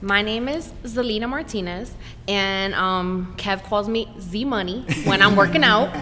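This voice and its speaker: A woman speaks at a fairly slow pace with audible room echo. Music plays in the background. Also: medium pitch for a woman, ordinary pitch variation. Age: 40s. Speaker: breast cancer survivor. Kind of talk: podcast interview.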